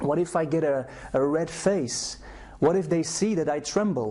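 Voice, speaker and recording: Over noticeable background noise, a man with a fairly high pitch talks at a moderate pace, his pitch varying in an ordinary way. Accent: Flemish Belgian. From Belgium (Flanders, Brussels). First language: Flemish (Dutch). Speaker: anxiety coach. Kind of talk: personal testimony to camera. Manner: halting with repetitions.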